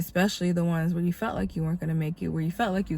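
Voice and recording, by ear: A woman speaks with a low pitch and a nasal quality. Her intonation stays fairly even.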